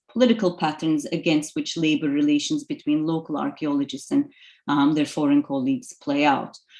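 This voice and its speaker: A woman speaks in a Turkish accent at a moderate pace. Her pitch swings very widely. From Turkey. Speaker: archaeology lecturer. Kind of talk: lecture. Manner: hesitant, many fillers.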